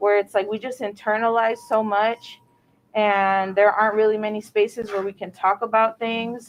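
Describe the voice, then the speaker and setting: A woman talks with a Spanish accent at a moderate pace. Her pitch sits fairly high. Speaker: community organizer. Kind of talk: town hall discussion. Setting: town hall audience. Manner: casual, halting with fillers.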